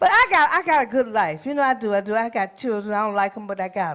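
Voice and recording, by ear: Speaking at a fast pace, a woman uses medium pitch, lively intonation and a fairly bright tone.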